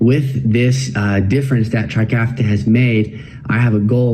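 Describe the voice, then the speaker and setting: A man's somewhat breathy voice at a medium pitch, with ordinary pitch variation, a fairly slow pace and audible room echo. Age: 20s. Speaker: cystic fibrosis patient. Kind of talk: testimony.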